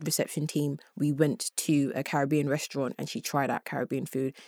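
The recording is very clean with a silent background, catching a woman's very deep, low pitch in dry, close sound with no echo. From Congo. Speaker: student. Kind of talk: casual chat. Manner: halting.

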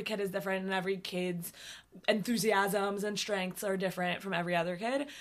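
A woman speaks at a very fast pace. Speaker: synagogue clergy and podcast co-host. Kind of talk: casual podcast chat and interview.

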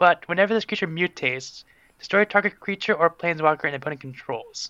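Speaking with an American accent, a man uses a high pitch and lively intonation. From Pennsylvania, USA. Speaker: podcast guest, card game player. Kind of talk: casual chat.

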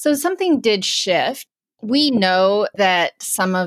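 Here is a woman with a plain, everyday voice and lively intonation. Her sound is dry and close, with no echo. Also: very clean recording, silent background. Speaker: climate policy editor and podcast host. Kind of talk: interview conversation.

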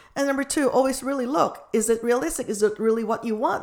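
On a very clean recording with a silent background, a woman speaks at a fairly quick pace in a high pitch with ordinary pitch variation. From Philippines. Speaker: business founder and sales coach. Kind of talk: interview.

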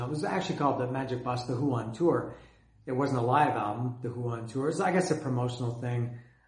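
Over noticeable background noise, a man with a Canadian accent speaks at medium pitch with ordinary pitch variation. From Canada. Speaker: music fan video host. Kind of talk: solo video monologue about bands. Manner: rambling, casual, with filler words.

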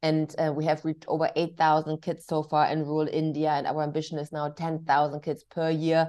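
Against a quiet background, a woman with a German accent talks fairly quickly in a very deep, low voice with monotone, flat intonation. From Germany. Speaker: diversity and inclusion executive. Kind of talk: interview. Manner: hesitant, many fillers.

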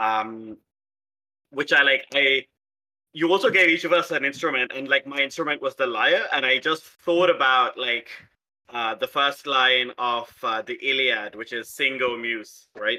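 A man with an Indian accent, fairly high pitch, ordinary pitch variation and a fairly slow pace. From South India, Hyderabad. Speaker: podcast player and editor. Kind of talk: casual chat. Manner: playful, deranged humor.

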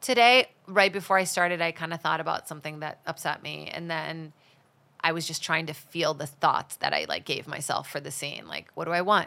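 A woman's very deep, low voice with vocal fry, a bright, sharp, animated tone, ordinary pitch variation and a fairly quick pace, in a very clean recording with a silent background. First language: Portuguese. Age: 30s. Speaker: stand-up comedian and actress. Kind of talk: casual chat. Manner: animated, joking.

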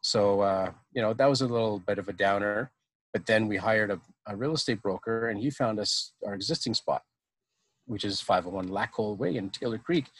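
An ordinary speaking voice from a man with a Canadian accent, fairly low in pitch with ordinary variation, at a fairly quick pace on a very clean recording with a silent background. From Ottawa, Ontario, Canada. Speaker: brewery co-owner. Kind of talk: casual chat.

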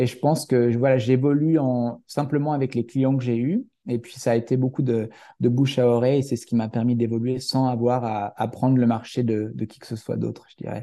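A man speaks at medium pitch and a moderate pace, with a dark, mellow tone and monotone, flat intonation. His loudness swings widely against a quiet background. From France, Haute-Savoie. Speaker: fitness coach, entrepreneur. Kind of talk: interview. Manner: halting, many fillers and restarts.

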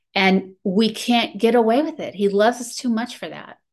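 This woman uses a normal speaking voice with ordinary pitch variation at a moderate pace. The background is quiet. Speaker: meeting participant sharing. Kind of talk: testimony.

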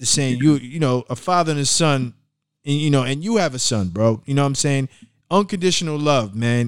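A man's normal speaking voice, fairly high in pitch, at a moderate pace. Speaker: podcast host. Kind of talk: casual podcast interview. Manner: casual, slangy, conversational.

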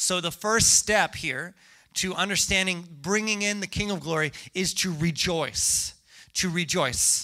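Bright and sharp in tone, a man speaks at a moderate pace. The recording is very clean with a silent background. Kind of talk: sermon. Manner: animated, joking, audience-interactive.

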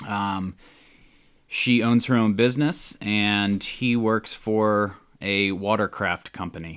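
Against a very clean recording with a silent background, a man with an American accent speaks very slowly at a fairly low pitch with fairly even intonation. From US South, Georgia (Atlanta). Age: 30s. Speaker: podcast guest. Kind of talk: casual chat.

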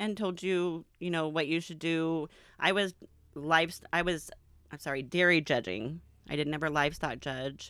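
A woman talks in a plain, everyday voice at a moderate pace, with fairly low pitch and ordinary pitch variation. The recording is very clean, with a silent background. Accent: American. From Arizona. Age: 40s. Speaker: host's mother. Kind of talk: casual interview.

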